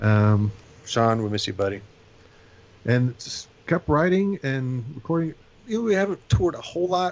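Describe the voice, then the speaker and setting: Lively in intonation, a man talks with an American accent. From Indiana. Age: 40s. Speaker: punk club night promoter and bassist. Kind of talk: casual chat.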